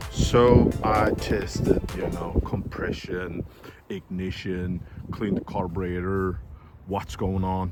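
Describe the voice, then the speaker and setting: A man talks with a Danish accent. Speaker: moped mechanic youtuber. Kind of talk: tutorial. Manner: halting.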